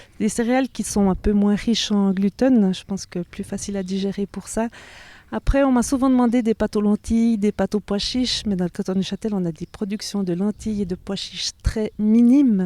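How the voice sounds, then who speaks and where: A woman speaks fairly quickly at a medium pitch in a dark, mellow tone with fairly even intonation. The recording is very clean with a silent background and a dry, close sound with no echo. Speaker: organic farmer. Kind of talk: interview. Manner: hesitant, many fillers.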